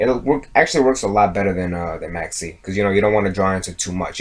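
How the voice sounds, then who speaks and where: His intonation is lively. The man's pitch is fairly low. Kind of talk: casual card game deck profile talk.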